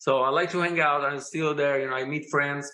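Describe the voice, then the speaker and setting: Pitched fairly high, a man speaks with a bright, sharp tone. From Italy. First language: Italian. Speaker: rock musician. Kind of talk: casual chat. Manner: halting.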